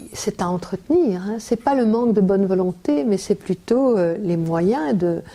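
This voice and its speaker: Speaking at a fairly slow pace, a woman uses lively intonation at a medium pitch with a dark, mellow tone. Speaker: writer and former teacher. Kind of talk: interview answer.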